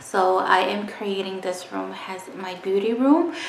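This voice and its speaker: Female speech in audible room echo, over light background noise. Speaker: beauty vlogger. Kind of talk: casual vlog chat. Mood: excited, friendly. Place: home room. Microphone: phone near.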